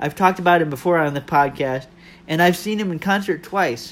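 A man talks with a high pitch and ordinary pitch variation. Music plays in the background. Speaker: podcaster. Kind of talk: casual monologue. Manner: stumbling over words.

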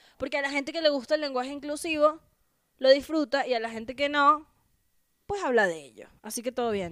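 Speaking at a fairly quick pace, a woman uses a high voice with lively intonation and big swings in loudness. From Venezuela. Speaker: comedian. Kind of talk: casual chat.

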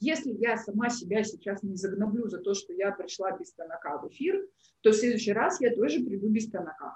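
A woman at a fairly high pitch, somewhat breathy, with very wide pitch swings and a very fast pace. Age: 30s. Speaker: psychologist and coach. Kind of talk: online workshop. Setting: livestream, also on her own social page.

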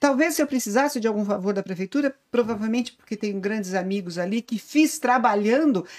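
In a normal speaking voice, a woman with a fairly high pitch moves at a fairly quick pace with lively intonation. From Brazil, Santo André (São Paulo). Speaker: business lawyer. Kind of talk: casual chat.

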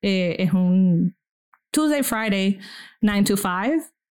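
The woman is heard on a very clean recording with a silent background. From Venezuela. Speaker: podcast host, guest here. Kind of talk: casual discussion.

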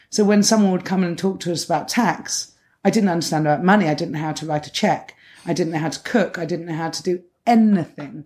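On a very clean recording with a silent background, a woman speaks very fast in a dark, mellow tone, with a fairly low pitch and ordinary pitch variation. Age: 30s. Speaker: cellist. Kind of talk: interview.

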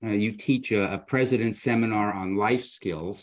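With a plain, everyday voice, a man speaks at a fairly slow pace, fairly low in pitch and with fairly even intonation. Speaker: guest co-host, former university president. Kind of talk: casual interview.

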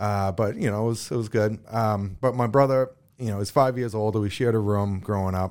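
A man with an ordinary speaking voice talks fairly quickly in a fairly low pitch with fairly even intonation. The recording is very clean, with a silent background. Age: 40s. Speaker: former pro hockey player. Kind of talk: interview.

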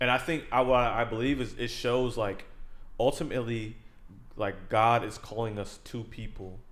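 Here a man speaks in an ordinary speaking voice at a moderate pace. His pitch is medium and his intonation fairly even. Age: 20s. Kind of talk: casual chat.

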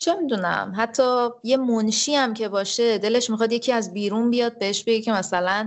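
A woman speaks in a plain, everyday voice with a fairly high pitch, ordinary pitch variation and a moderate pace. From Iran, Tehran. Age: 30s. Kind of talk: casual interview.

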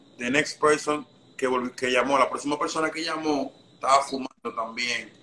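Noticeable background noise sits behind a man with a fairly high pitch who speaks at a moderate pace in a monotone, flat intonation. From Dominican Republic. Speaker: trap rapper. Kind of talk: casual chat. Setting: live stream.

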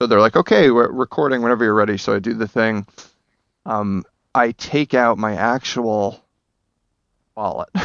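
With a New Jersey accent, a man speaks at a medium pitch and moderate pace. His intonation is fairly even, broken by long, frequent pauses. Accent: New Jersey American. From New Jersey, Bergen County. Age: 30s. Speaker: actor. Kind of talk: casual chat. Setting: video call.

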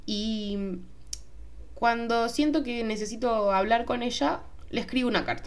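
With a Rioplatense accent, a woman speaks at a fairly high pitch with ordinary pitch variation and long, frequent pauses, and the room echo is audible. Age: 20s. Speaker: podcast host. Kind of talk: solo podcast monologue. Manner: casual, hesitant with fillers.

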